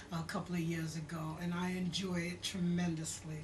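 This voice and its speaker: A woman with a New York accent speaks at a medium pitch and a moderate pace. Room echo is audible, and there is noticeable background noise. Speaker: singer and actress. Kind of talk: interview. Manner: casual, animated.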